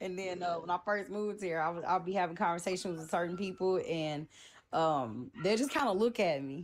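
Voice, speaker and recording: A woman with an American accent talks at a fairly quick pace, her medium pitch showing ordinary variation. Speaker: guest. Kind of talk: casual chat. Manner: upbeat.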